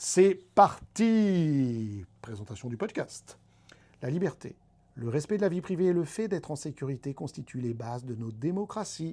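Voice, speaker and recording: A man with a dark, mellow tone speaks at a fairly slow pace and a fairly high pitch. His pitch swings very widely, and his loudness shifts in big swings. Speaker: podcast host. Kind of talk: podcast monologue partly read from script. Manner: animated.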